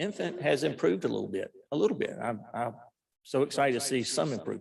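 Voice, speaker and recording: This man speaks at a very fast pace with a fairly high pitch, vocal fry, and very wide pitch swings. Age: 60s. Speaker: physician testifying to lawmakers. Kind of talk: legislative hearing testimony. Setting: committee hearing room.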